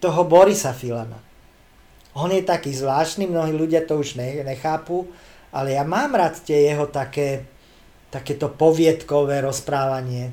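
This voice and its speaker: This man speaks at a fairly slow pace with lively intonation. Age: 50s. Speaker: comedian. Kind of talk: casual chat.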